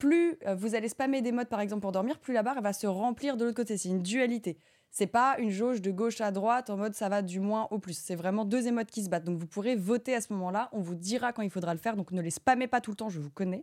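Against a silent background in a very clean recording, a woman with a fairly high pitch and ordinary pitch variation talks at a very fast pace with hardly any pauses. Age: 30s. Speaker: streamer and show host. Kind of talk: casual chat.

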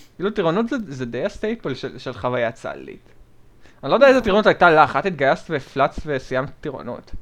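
Pitch leaps up and down dramatically as this man talks. He rushes through his words at a very fast clip. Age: 20s. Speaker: podcast co-host. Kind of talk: casual chat.

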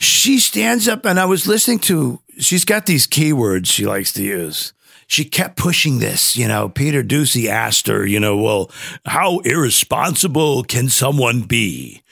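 A man at a medium pitch talks at a fairly slow pace with a bright, sharp tone. His voice shows vocal fry and very wide pitch swings. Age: 50s. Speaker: podcast co-host. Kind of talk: casual chat. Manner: halting, many fillers and restarts.

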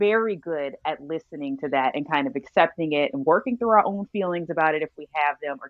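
A woman's ordinary speaking voice, fairly low in pitch, with an American accent, a fairly quick pace and lively intonation. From Texas, Arlington. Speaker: realtor and trained chef. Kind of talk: casual chat.

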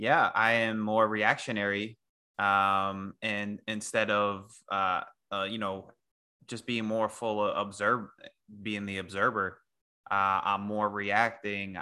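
With a New York accent, a man speaks very slowly in a bright, sharp tone at a fairly low pitch, flat and monotone, on a very clean recording with a silent background. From New York area. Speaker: podcast co-host. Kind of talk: casual podcast chat.

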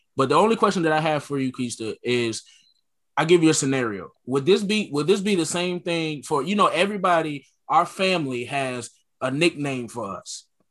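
Using lively intonation at a fairly quick pace, a man with a plain, everyday voice, a fairly high pitch and an American accent talks. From Connecticut, US. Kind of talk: casual group discussion.

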